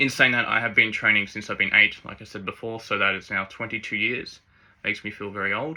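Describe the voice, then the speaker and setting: Speaking at a very fast pace, a man with a bright, sharp tone keeps a medium pitch and fairly even intonation while his loudness swings widely. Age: 30s. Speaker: fitness vlogger. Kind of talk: casual Q&A vlog. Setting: speaking to camera. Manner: sometimes jumbles words.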